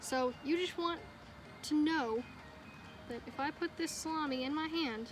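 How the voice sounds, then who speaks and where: With music in the background, a woman speaks fairly slowly in a high pitch, with ordinary pitch variation and long, frequent pauses. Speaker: dog trainer. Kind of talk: casual talk to camera.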